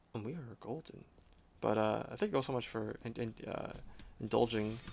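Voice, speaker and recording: A man talks at a fairly quick pace with an American accent. His pitch sits in the medium range. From New York. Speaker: gaming streamer. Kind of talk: casual gameplay commentary. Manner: fast; hard to understand.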